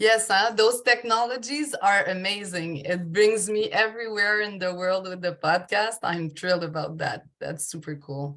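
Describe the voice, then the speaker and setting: With a French accent, a woman speaks at a moderate pace in a bright, sharp tone, barely pausing. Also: medium pitch for a woman, ordinary pitch variation. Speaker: podcast host, life coach. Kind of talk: interview podcast.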